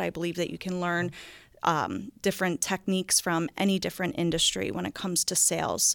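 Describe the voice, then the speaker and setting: In a very clean recording with a silent background and a dry, close sound with no echo, a woman speaks at medium pitch with an American accent. She has an ordinary speaking voice and a fairly quick pace. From New Jersey, Philadelphia suburbs. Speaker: investment wholesaler. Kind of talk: interview.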